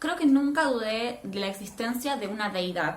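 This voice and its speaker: A woman with a Rioplatense accent and fairly high pitch, very wide pitch swings, audible room echo and noticeable background noise. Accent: Argentine Spanish (rioplatense). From Argentina, Neuquén (Patagonia). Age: 20s. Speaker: vlogger. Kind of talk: personal testimony vlog.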